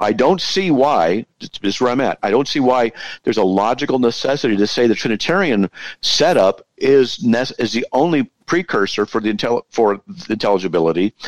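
A man speaks at a medium pitch with very even loudness. The sound is dry and close, with no echo. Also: lively intonation. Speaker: podcast participant discussing theology. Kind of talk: informal philosophical debate. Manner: fast talker.

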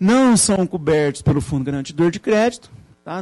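Music plays behind a man. He talks at a fairly quick pace. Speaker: finance lecturer. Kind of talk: lecture.

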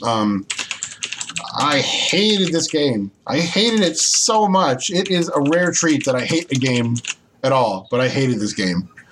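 Over noticeable background noise, a man with a fairly high pitch talks fairly slowly, his pitch swinging very widely while his loudness stays very even. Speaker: podcast host. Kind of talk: casual chat. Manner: animated, joking.

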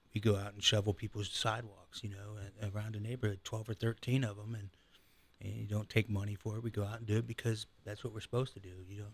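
Very fast, somewhat breathy male speech in a monotone, flat intonation. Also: fairly low pitch for a man, big swings in loudness. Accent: American. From Ohio, Canton area. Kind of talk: casual interview chat.

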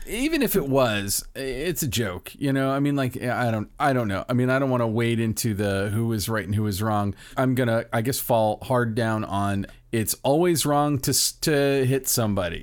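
A man at a medium pitch, moderate pace and ordinary pitch variation, with hardly any pauses. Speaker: podcast host. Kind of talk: casual chat. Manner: animated.

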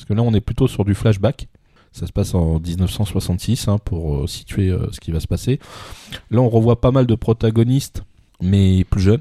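A man's fairly low, dark and mellow voice, somewhat breathy, at a fairly slow pace, with big swings in loudness and a dry, close sound with no echo. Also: ordinary pitch variation. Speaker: podcast co-host reviewing manga. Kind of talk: casual review chat.

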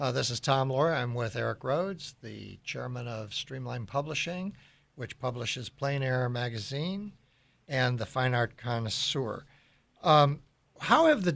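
A man's ordinary speaking voice at medium pitch, fairly slow, with ordinary pitch variation, in a very clean recording with a silent background. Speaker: radio host. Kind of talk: interview.

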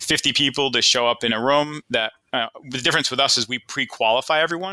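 Bright and sharp in tone, a man talks fairly quickly with a Boston accent. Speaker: financial advisor and firm co-owner. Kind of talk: casual interview conversation. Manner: conversational, informal.

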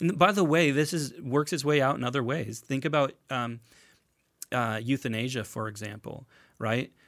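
On a very clean recording with a silent background, a man with an ordinary speaking voice speaks at a moderate pace, his medium pitch varying in an ordinary way. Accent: American. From United States. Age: 40s. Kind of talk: casual chat. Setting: studio.

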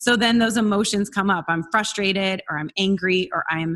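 A woman's medium-pitched, normal speaking voice at a moderate pace, with fairly even intonation over a quiet background. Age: 40s. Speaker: success coach. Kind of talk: interview.

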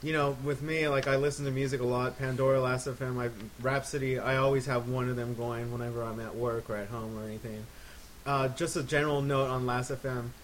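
A man speaks at a fairly quick pace in a monotone, flat intonation. Noticeable background noise runs underneath. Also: medium pitch for a man. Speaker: podcast co-host. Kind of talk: casual chat.

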